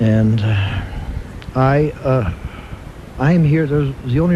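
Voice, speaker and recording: A man with an American accent talks at a fairly slow pace against noticeable background noise. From Buffalo, New York. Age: 60s. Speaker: Gulag survivor. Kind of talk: radio interview. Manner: halting, many fillers.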